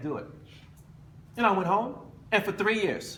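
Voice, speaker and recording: Speaking with an American accent, a man sounds animated at a fairly quick pace over noticeable background noise. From United States. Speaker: motivational speaker, former basketball player. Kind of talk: motivational speech.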